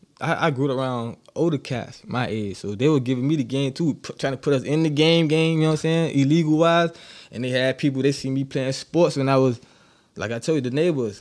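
This man has a plain, everyday voice with a fairly high pitch and ordinary pitch variation, speaking at a fairly quick pace with an American accent. The recording is very clean, with a silent background. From Miami, Florida. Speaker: podcast guest. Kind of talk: casual chat.

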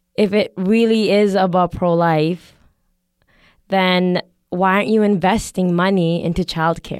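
A fairly slow, monotone delivery with flat intonation in a Canadian accent, on a very clean recording with a silent background. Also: woman, medium pitch for a woman. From Canada, Calgary. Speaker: podcast guest. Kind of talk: casual chat.

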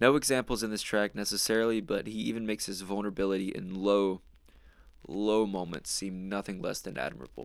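A man with a plain, everyday voice speaks at a fairly quick pace, fairly low in pitch with ordinary pitch variation. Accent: American. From North Carolina, small town near Charlotte. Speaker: podcast host. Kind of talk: solo monologue review.

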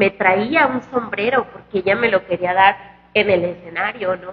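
Noticeable background noise fills the clip. Within it, a woman speaks fairly slowly. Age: 20s. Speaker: singer. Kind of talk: casual chat. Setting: restaurant.

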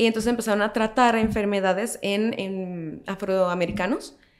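A woman with an unremarkable speaking voice, fairly high pitch, fairly even intonation and a moderate pace. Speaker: historian and social media creator. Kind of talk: casual chat.

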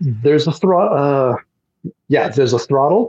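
A man with an unremarkable speaking voice and ordinary pitch variation. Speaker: airline pilot. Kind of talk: casual chat. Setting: video call.

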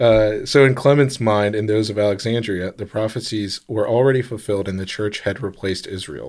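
A man with a plain, everyday voice and fairly low pitch talks at a fairly quick pace with hardly any pauses and fairly even intonation, in a very clean recording with a silent background. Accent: American. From lived overseas as a child, American. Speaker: podcast co-host. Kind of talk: casual chat. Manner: joking, playful.

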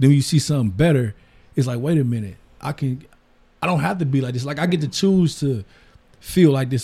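The voice is somewhat breathy, with a dark, mellow tone and an American accent. Its pitch variation is ordinary. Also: man. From US Midwest, Detroit east side. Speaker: entrepreneur and barber. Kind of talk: casual chat.

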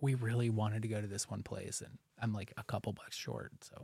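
This man has a normal speaking voice, fairly low in pitch, with an American accent. He talks at a fairly quick pace, and the sound is dry and close with no echo. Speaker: parish podcast host. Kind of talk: casual chat. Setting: studio.

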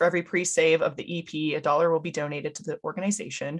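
Against a quiet background, a woman speaks at a fairly quick pace. Her voice is fairly low with ordinary pitch variation. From California, Los Angeles. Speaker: podcast host. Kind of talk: interview.

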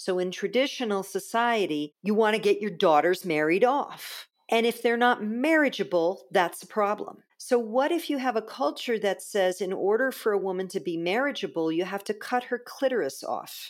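On a very clean recording with a silent background, a woman with an American accent uses a normal speaking voice at medium pitch, with lively intonation and hardly any pauses. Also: moderate pace. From US East Coast. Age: 50s. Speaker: spiritual teacher. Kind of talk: interview conversation.

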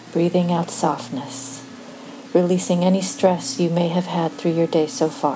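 Over noticeable background noise, the voice has a soothing, calm tone with ordinary pitch variation. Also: woman, fairly low pitch for a woman. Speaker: meditation guide. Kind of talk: guided meditation. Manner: slow, soothing, calm; gentle, measured pacing with pauses.

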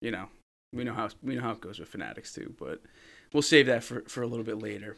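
In a very clean recording with a silent background, a man with an American accent speaks at a medium pitch with vocal fry. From New Jersey. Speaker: podcast co-host, sports card collector. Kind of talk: casual chat.

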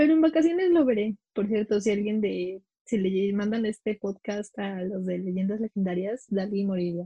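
Speaking with a Mexico City accent, a woman talks at a moderate pace with hardly any pauses, a medium pitch, lively intonation and a somewhat breathy voice. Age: 20s. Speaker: podcast co-host. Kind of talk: casual chat.

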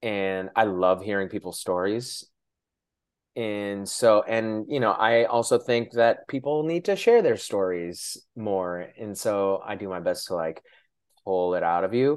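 A man with an ordinary speaking voice talks at a fairly low pitch. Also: ordinary pitch variation, fairly slow pace, quiet background. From Shoreline, Washington, US. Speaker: podcast host. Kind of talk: casual interview chat.

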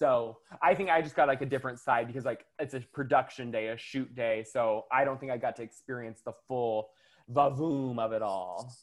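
Captured in a very clean recording with a silent background, a man with a normal speaking voice and medium pitch talks at a moderate pace with ordinary pitch variation. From US South. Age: 30s. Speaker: makeup artist. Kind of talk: casual chat.

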